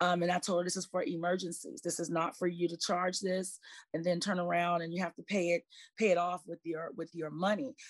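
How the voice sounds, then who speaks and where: A woman speaks in a normal speaking voice at a fairly quick pace, her pitch fairly low and her intonation fairly even. The recording is very clean with a silent background, and the sound is dry and close with no echo. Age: 40s. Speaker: financial professional. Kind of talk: casual chat.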